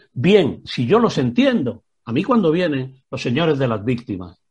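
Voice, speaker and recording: At a moderate pace, a man with a fairly high, somewhat breathy voice speaks in very wide pitch swings. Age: 60s. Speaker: retired prison director and author. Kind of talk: interview.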